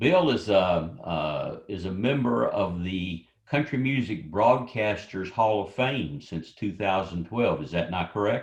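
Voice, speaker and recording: A man's fairly low, somewhat breathy voice with lively intonation. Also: fairly slow pace. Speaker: event host interviewer. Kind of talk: interview. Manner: radio DJ style.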